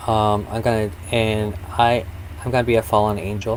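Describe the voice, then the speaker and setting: Somewhat breathy, a man speaks. His pitch is fairly low. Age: 30s. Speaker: podcast co-host. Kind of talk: casual chat. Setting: live stream.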